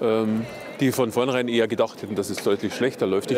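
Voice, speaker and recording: Against crowd noise in the background, a man talks at a fairly quick pace, the sound dry with no echo. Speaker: interviewee. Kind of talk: interview answer. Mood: calm, matter-of-fact. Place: market. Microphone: lapel.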